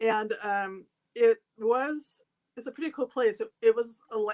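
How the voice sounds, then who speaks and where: A woman with a West Coast accent speaks at a fairly slow pace, her fairly high pitch showing ordinary variation. The recording is very clean and dry, close with no echo, over a silent background. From Seattle, US Pacific Northwest. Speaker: artist and photographer. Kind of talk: interview. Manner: halting.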